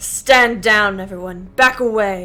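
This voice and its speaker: The voice is a booming, put-on character voice. It moves at a fairly slow pace. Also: woman. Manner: commanding.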